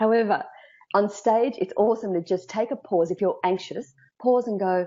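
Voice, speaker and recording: A woman talks at a moderate pace with an Australian accent. Her pitch is fairly high, with ordinary variation. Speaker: speaker coach. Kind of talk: interview. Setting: live video stream.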